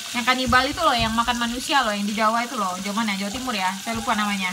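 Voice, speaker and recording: A woman with a fairly high pitch and fairly even intonation is heard with audible room echo and noticeable background noise. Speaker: cooking and family vlogger. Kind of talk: casual vlog talk while cooking.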